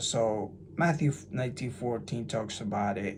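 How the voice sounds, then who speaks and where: Amid audible room echo, a man with an American accent speaks very slowly in a somewhat breathy voice of medium pitch with ordinary pitch variation. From New Jersey, US. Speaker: religious YouTuber. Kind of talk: casual monologue. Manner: animated; halting.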